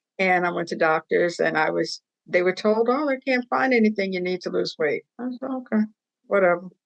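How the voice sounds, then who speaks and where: A normal speaking voice at a fairly quick pace, lively intonation, and a dry, close sound with no echo. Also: woman, medium pitch for a woman. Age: 60s. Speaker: patient advocate. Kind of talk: testimony.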